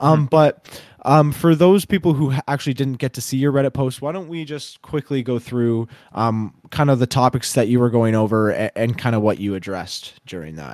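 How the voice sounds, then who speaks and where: Speaking at a fairly quick pace, a man with an unremarkable speaking voice and a medium pitch is heard on a very clean recording with a silent background. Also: lively intonation, dry, close sound with no echo. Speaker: podcast host. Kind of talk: casual chat.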